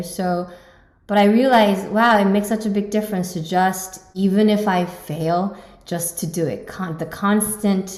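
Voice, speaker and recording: The speaker has a Korean accent and fairly even intonation, talking at a moderate pace with audible room echo. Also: woman. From South Korea, Seoul. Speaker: pianist and competition judge. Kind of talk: interview.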